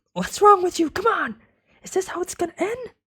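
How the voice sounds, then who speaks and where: Someone uses a put-on character voice at an extremely high pitch, talking at a fairly quick pace. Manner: pleading, urgent.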